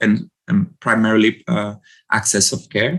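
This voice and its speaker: A man is speaking at a fairly slow pace. His voice has a medium pitch. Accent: Brazilian. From Brazil. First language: Portuguese. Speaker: medical doctor and sex therapist. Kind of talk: interview. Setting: podcast recording. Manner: halting, with frequent repetitions.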